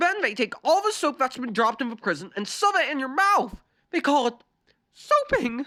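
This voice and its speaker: A put-on character voice at a moderate pace, with very wide pitch swings. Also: woman, high pitch for a woman. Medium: read story. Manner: blunt, exasperated.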